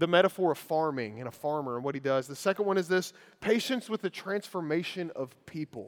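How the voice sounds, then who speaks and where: Speaking fast-ish with a Kentucky accent, a man uses lively intonation and a high pitch at a fairly quick pace. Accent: Kentucky (US South). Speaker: preacher. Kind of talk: sermon.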